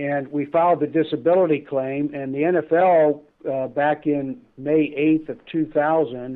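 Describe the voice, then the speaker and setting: This man has a fairly high pitch, fairly even intonation and an unremarkable speaking voice. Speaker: attorney. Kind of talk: casual interview. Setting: phone call.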